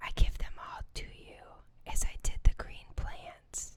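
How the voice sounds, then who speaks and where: Someone whispers in a calm tone at a fairly slow pace. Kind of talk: ASMR scripture reading. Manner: whispered; soft-spoken, calm.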